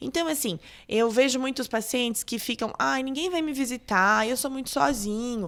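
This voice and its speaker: An ordinary speaking voice at a moderate pace, on a very clean recording with a silent background. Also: woman. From Brazil, Catanduva (São Paulo state). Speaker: doctor. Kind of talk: interview.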